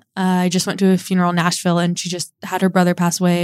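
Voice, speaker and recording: Dry and close, the sound carries no echo. It is a woman on a very clean recording with a silent background. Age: 20s. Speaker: podcast host. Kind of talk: casual solo podcast monologue. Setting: home studio.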